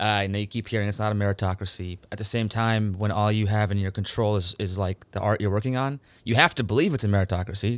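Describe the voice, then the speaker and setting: This man speaks at a very fast pace with an American accent, a fairly low pitch, fairly even intonation and hardly any pauses, in a very clean recording with a silent background. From Minnesota, US Midwest. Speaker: writer and actor. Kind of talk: casual chat.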